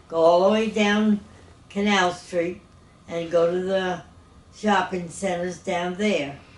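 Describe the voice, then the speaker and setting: The speech is very slow, with long, frequent pauses and monotone, flat intonation. Audible room echo fills the recording. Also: woman, medium pitch for a woman. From New Orleans, Louisiana. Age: 80s+. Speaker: retired teacher. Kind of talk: interview.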